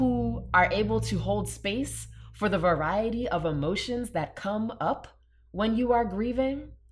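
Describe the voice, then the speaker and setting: A woman talks at a fairly slow pace. Audible room echo surrounds her voice. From New Orleans, Louisiana. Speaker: cultural anthropologist. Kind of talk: casual interview.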